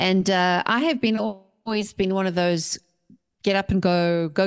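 A woman with a South African accent speaks at medium pitch. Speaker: author and mindset coach. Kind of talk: interview. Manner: animated.

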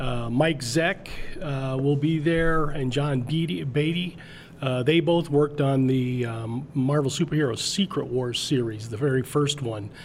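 An unremarkable speaking voice from a man with an American accent, fairly high in pitch, fairly slow, with ordinary pitch variation. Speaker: comic club moderator. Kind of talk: casual interview chat.

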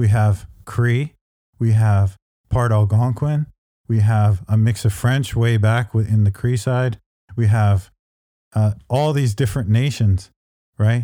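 A somewhat breathy, dark and mellow voice with a Canadian accent. The pace is fairly slow and the intonation fairly even. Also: man. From Canada. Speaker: author and professor. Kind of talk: interview.

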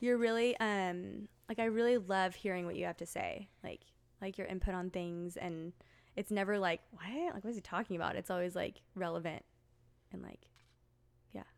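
A woman speaks in an unremarkable speaking voice at a medium pitch. Her intonation stays fairly even, and her pace is moderate. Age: 30s. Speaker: school therapist. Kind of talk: casual chat. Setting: at a home.

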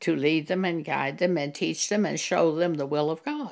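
A woman speaks in a very deep, low voice with vocal fry. The recording is very clean, with a silent background. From US Southwest, eastern New Mexico. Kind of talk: testimony.

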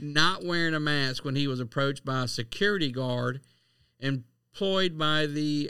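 With a Southern US accent, a man speaks at a moderate pace in a bright, sharp tone at a fairly high pitch. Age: 40s. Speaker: podcast co-host. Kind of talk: casual chat.

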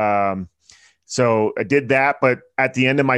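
The speaker is a man. He talks with a Pennsylvania accent. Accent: American, Pennsylvania. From central Pennsylvania. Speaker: author and entrepreneur. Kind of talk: interview.

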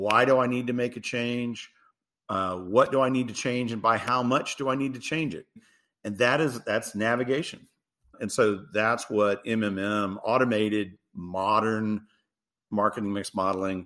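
The recording is very clean, with a silent background. A man speaks at medium pitch and moderate pace, with ordinary pitch variation. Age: 50s. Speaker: tech company CEO. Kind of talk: interview. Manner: animated.

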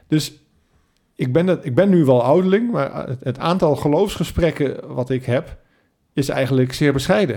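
At a moderate pace, a man with a fairly high pitch speaks in a dark, mellow tone with lively intonation. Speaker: podcast host. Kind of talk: casual interview. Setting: home kitchen table with microphone.

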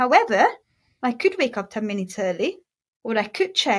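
A woman speaks in a somewhat breathy voice at a fairly high pitch. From Hungary. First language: Hungarian. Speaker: mindset coach and hypnotherapist. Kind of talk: interview conversation. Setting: video call.

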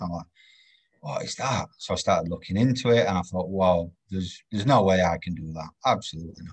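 A man speaks with a Yorkshire accent in a very deep, low voice. His pace is very fast. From northern England, Doncaster. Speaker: railway health and safety practitioner. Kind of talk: casual interview.

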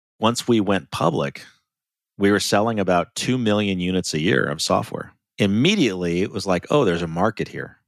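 A man with an American accent, an ordinary speaking voice, fairly low pitch, ordinary pitch variation and a fairly quick pace. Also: very clean recording, silent background. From US Midwest, small-town Ohio. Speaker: finance executive and consultant. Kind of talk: interview.

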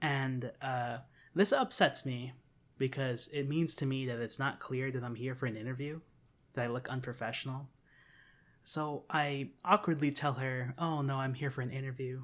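In a very clean recording with a silent background, a man talks at a moderate pace and medium pitch in an ordinary speaking voice with fairly even intonation. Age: 20s. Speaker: podcast host. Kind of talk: casual chat.

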